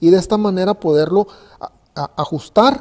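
A man speaks in a high voice with a dark, mellow tone. His pitch varies in an ordinary way. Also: quiet background. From Mexico, Ensenada, Baja California. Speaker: carpenter. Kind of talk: tutorial. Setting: workshop. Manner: halting. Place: workshop.

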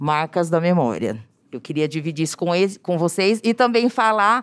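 With an ordinary speaking voice, a woman talks at a moderate pace and fairly low pitch, her intonation lively against a quiet background. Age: 40s. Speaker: teacher, audience member; audience member. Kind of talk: audience question. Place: hall. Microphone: handheld.

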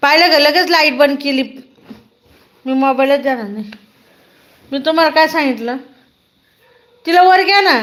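Here is a woman's high-pitched voice. Its rise and fall is ordinary. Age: 30s. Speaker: live streamer. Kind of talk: live stream chat. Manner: animated.

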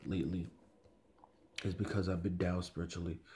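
Somewhat breathy, a man talks with a very deep, low pitch. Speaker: religious video commentator. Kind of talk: religious commentary monologue. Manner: halting, many filler words.

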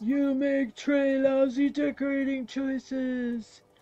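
A put-on character voice, high-pitched and monotone with flat intonation, at a fairly slow pace

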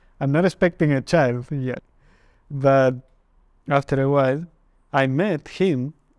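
The speaker has a Spanish accent and a fairly slow pace with long, frequent pauses and fairly even intonation. The sound is dry with no echo, over a quiet background. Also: man, fairly high pitch for a man. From Argentina, Mendoza; Argentina. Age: 30s. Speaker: interviewee. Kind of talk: testimony; interview answer. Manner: halting. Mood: calm, reflective. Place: studio. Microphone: lapel.

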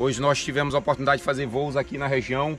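Faint music plays in the background as a man talks at a very fast pace, the sound dry with no echo. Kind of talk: casual vlog chat. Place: street. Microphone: phone near.

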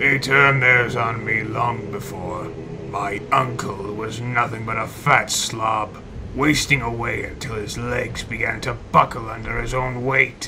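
Putting on a character voice, a man of medium pitch speaks at a fairly slow pace over clear background noise. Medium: machinima. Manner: curt, sullen, arrogant.

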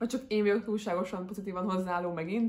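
A woman talks at a very fast pace in a somewhat breathy voice. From Hungary. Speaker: book vlogger. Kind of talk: casual chat. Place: home room.

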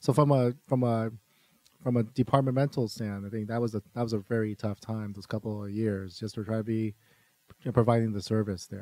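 A dark, mellow tone carries fairly even intonation at a fairly quick pace, with big swings in loudness and a dry, close sound free of echo. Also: man, medium pitch for a man. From US, Virginia (born in Taiwan). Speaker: city government staff member. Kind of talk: interview.

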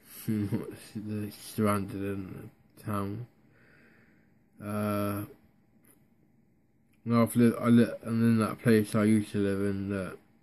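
A man's very slow, monotone, flat speech in a Devon accent, fairly low in pitch with a dark, mellow tone, long, frequent pauses and light background noise. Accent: Devon (West Country English). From North Devon, England. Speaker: vlogger. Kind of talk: casual talk to camera. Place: home room. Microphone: phone near.

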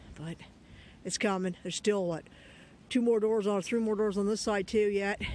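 Speech comes at a moderate pace. The sound is dry with no echo, over light background noise. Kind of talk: casual vlog chat. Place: open country. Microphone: phone near.

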